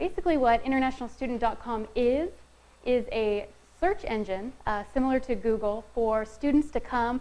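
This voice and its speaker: A soft-spoken woman talks at a moderate pace with a fairly high pitch and ordinary pitch variation. Audible room echo surrounds her voice. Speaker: marketing specialist presenting a session. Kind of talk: conference presentation. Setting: room with live audience, no microphone.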